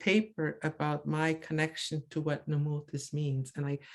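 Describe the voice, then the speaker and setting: A woman with a Maritime Canadian accent speaks at a fairly slow pace in a very deep, low pitch. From Cape Breton, Nova Scotia (Mi'kmaq). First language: Mi'kmaq. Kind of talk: presentation over video call. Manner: halting, many repetitions and fillers.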